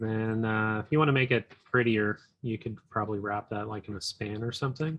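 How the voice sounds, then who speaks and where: Mumbling at a fairly quick pace, a man talks at medium pitch with fairly even intonation. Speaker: coding instructor. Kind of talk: live coding tutorial. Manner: halting, many fillers.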